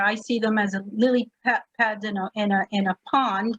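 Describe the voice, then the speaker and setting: A woman with a Spanish accent speaks with a fairly high pitch and fairly even intonation, sounding somewhat breathy. The sound is dry and close, with no echo. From New York City (born in Puerto Rico, Spanish first). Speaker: summit panelist. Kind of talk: panel discussion.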